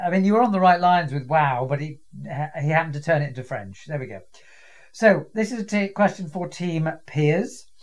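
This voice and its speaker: A man with a British accent talks at a fairly quick pace in a high pitch. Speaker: quiz host. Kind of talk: quiz show hosting, casual and witty. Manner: wry, good-humoured.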